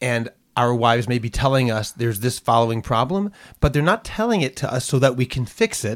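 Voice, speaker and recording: A man with an American accent talks at a fairly quick pace in an ordinary speaking voice, medium in pitch with ordinary pitch variation, recorded very cleanly against a silent background with a dry, close sound and no echo. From US, Boston. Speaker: podcast co-host. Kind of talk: casual teaching discussion; scripted announcement.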